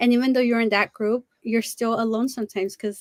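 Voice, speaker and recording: A woman has a normal speaking voice and a fairly high pitch with fairly even intonation. The sound is dry and close with no echo. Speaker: parent advocate. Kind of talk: panel discussion.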